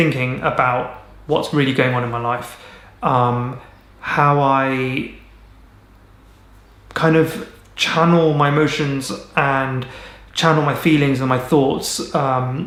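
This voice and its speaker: Over noticeable background noise, a man speaks at a very slow pace with long, frequent pauses, using a medium pitch and fairly even intonation. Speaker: mental health vlogger. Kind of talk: casual talk to camera. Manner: rambling, slow.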